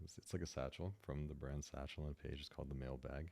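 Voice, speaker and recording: Soft-spoken with vocal fry, this voice has a dark, mellow tone and fairly even intonation. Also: man. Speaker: tech ASMR YouTuber. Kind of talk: ASMR unboxing and review.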